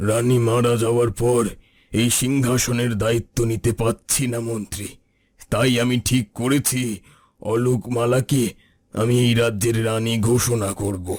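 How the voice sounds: In a cartoonish character voice, a man speaks fairly slowly at a medium pitch with monotone, flat intonation.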